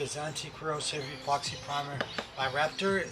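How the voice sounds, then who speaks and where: With an American accent, a man speaks at a moderate pace and a fairly high pitch. Audible room echo and noticeable background noise come through. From United States. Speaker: car restoration vlogger. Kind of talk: casual vlog unboxing. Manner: casual, with frequent fillers.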